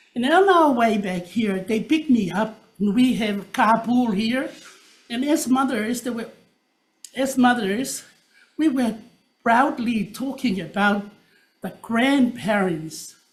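A woman speaks at a very slow pace with a fairly high pitch. Her intonation is lively, and she leaves long, frequent pauses. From Tonga. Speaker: public testifier. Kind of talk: public testimony.

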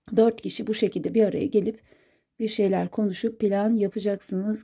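Fairly high in pitch, a woman's voice has a dark, mellow tone. She keeps a moderate pace on a very clean recording with a silent background. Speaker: coffee cup fortune teller. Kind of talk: fortune reading monologue. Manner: hesitant, many filler sounds.

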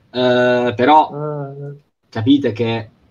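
Faint music plays in the background as a man talks at a very slow pace with monotone, flat intonation. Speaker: wrestling show host. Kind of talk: casual chat. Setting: video call. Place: home room. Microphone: video call.

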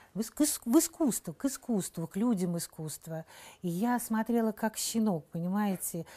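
A woman with a fairly high pitch and a dark, mellow tone speaks at a moderate pace, somewhat breathy and lively in intonation, with a dry, close sound with no echo and a very clean recording over a silent background. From Saint Petersburg, Russia. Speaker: actress. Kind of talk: interview.

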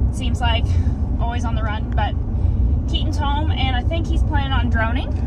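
A woman speaks at a fairly slow pace with ordinary pitch variation. The sound is dry with no echo, over loud background noise. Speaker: farmer vlogger. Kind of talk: casual vlog chat. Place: car. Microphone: phone near.

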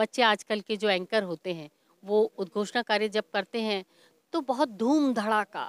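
A woman's fairly high voice at a fairly slow pace, the sound dry with no echo. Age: 50s. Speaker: stage announcer. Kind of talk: interview. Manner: formal. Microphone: handheld.

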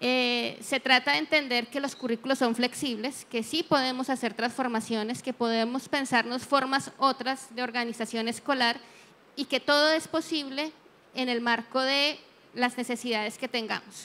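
At a moderate pace, a woman speaks in a high pitch with fairly even intonation. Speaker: education expert on the panel. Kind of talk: panel discussion. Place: hall. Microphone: handheld.

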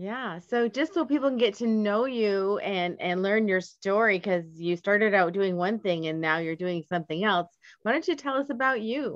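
A woman with an American accent, medium pitch, ordinary pitch variation and a moderate pace.

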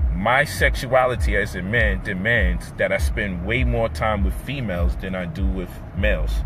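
Over music in the background, a man speaks in a dry sound with no echo. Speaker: commentator on relationships. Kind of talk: casual vlog chat. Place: car. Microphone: phone near.

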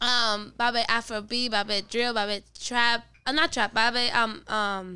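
A woman speaks at a fairly slow pace with fairly even intonation, very even loudness and a bright, sharp tone. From Puerto Rico (Carolina, Dorado); Puerto Rico. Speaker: singer and rapper; podcast guest. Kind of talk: casual chat. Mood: relaxed, chatty. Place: studio. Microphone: studio mic.

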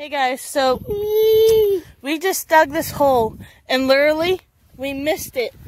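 Her voice sits high, and the woman keeps a fairly even intonation. The recording is dry with no echo. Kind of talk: casual vlog chat. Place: open country. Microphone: phone near.

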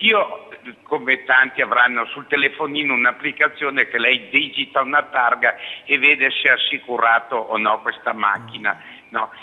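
A man with an unremarkable speaking voice talks at a moderate pace in a medium pitch with ordinary pitch variation. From Alessandria, northern Italy. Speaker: caller. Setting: phone call.

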